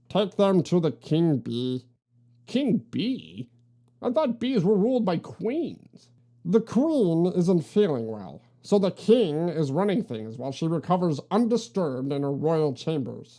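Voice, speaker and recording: Using a put-on character voice, a woman speaks fairly slowly at a fairly low pitch. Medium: read story. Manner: officious, curt.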